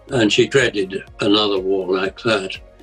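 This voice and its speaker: A man's words come at a moderate pace while music plays in the background. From England, Essex. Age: 80s+. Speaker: war survivor. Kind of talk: interview answer.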